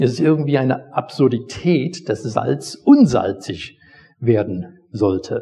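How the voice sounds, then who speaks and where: A man's dark, mellow tone with vocal fry, lively intonation and a very slow pace. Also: medium pitch for a man. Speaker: pastor. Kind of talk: sermon, teaching the congregation with a personal anecdote. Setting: church. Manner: conversational, storytelling, explaining the text step by step.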